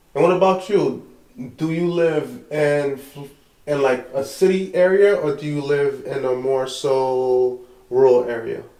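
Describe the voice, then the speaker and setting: With a New York accent, a man speaks at a fairly slow pace with a fairly high pitch and ordinary pitch variation, amid noticeable background noise and audible room echo. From Brooklyn, New York. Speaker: podcast host. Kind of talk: casual chat.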